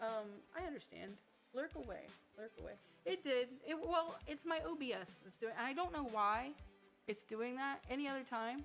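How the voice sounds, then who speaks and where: With lively intonation, a woman talks at a moderate pace in a high voice. Music plays in the background. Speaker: twitch streamer. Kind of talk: casual game stream commentary.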